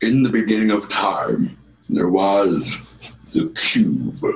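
A put-on character voice. It moves at a very slow pace. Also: man. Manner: solemn, heroic narration.

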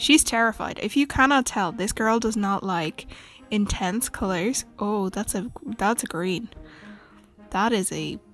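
Music plays behind a woman with an Irish accent. She speaks fairly slowly at a fairly high pitch with ordinary pitch variation. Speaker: beauty vlogger's friend doing voiceover. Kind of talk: casual voiceover commentary on makeup tutorial.

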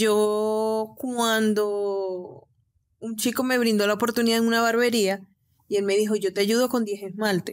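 A woman's fairly high, flat, monotone voice at a fairly slow pace, recorded very cleanly against silence. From Venezuela, Cabimas, Zulia state. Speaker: nail technician and entrepreneur. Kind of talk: interview.

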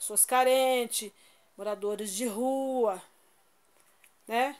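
With a high voice, a woman talks with normal movement in her pitch. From Brazil. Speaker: YouTuber; vlogger donating clothes. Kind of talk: casual vlog showing items. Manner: informal, chatty. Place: home room. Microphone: phone near.

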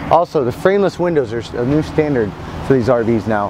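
Noticeable background noise surrounds a man's voice, which sounds dry with no echo. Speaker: RV salesman. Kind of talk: product walk-through presentation. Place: street.

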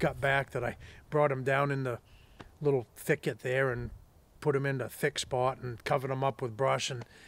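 The sound is dry with no echo as a man talks at a fairly quick pace in monotone, flat intonation. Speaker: hunting guide. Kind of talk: storytelling. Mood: relaxed, amused. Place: open country.

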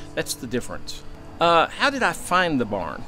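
A man talks while faint music drifts in the background. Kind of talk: interview answer. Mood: reflective, sincere.

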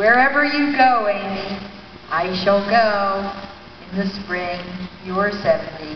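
Delivery is very slow, broken by long, frequent pauses, with ordinary pitch variation. Light background noise and audible room echo surround it. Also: woman. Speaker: reader in a staged play reading. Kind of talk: play reading. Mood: warm, reflective. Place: hall. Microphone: handheld.

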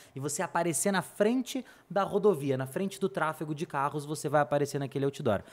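The speaker is a man with lively intonation. He keeps up a fairly quick pace. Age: 20s. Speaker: paid ads specialist; podcast guest. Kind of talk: casual interview chat. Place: studio. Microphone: studio mic.

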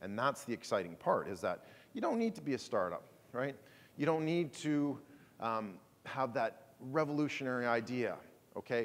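The man here speaks at a moderate pace. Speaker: conference keynote speaker. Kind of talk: presentation talk. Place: hall.

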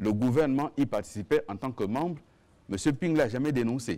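Dark and mellow in tone, a man's voice moves at a moderate pace with very wide pitch swings. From Gabon. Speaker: government minister and spokesperson; government minister, spokesperson. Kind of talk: press conference. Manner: formal. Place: meeting room.

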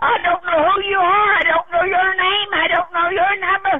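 Noticeable background noise runs beneath speech delivered at a moderate tempo. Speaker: caller. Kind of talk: angry phone rant. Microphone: phone line.

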